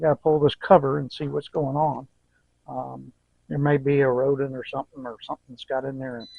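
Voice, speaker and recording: A man talks at a fairly quick pace in a flat monotone, his loudness swinging widely. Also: medium pitch for a man. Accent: rural American. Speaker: workshop handyman. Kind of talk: casual talk to camera.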